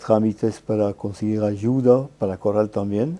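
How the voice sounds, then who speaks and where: This man has a dark, mellow tone and a fairly low pitch. He talks at a fairly slow pace with fairly even intonation. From Belgium, Flemish region. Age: 80s+. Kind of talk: interview. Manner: frequent tag 'eh?'.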